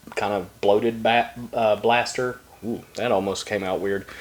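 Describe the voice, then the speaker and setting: A man talks in a Southern US accent at a medium pitch. His pace is moderate and his intonation monotone and flat. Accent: southern twang. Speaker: trading card YouTuber. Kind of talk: casual box-break commentary. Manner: casual, halting with fillers.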